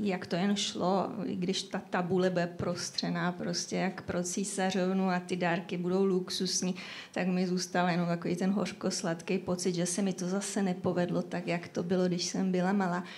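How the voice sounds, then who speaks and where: Monotone, flat intonation at a moderate pace. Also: woman, medium pitch for a woman. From Czechia, Šumava region. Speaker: novelist. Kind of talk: live podcast interview. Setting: café with live audience.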